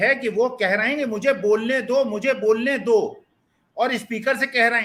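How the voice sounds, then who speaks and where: A man speaks in an extremely high pitch, his raised, projected voice animated in tone and bright and sharp. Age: 70s. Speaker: political commentator. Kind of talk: panel debate.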